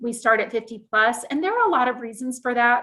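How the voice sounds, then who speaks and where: This is a woman's voice, high in pitch. Its tone is bright and sharp. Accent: American. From US South, South Carolina. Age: 50s. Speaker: librarian. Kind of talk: presentation.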